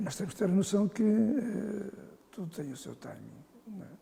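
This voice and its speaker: A man talks with ordinary pitch variation. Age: 70s. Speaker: football association president. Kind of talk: interview. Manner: halting.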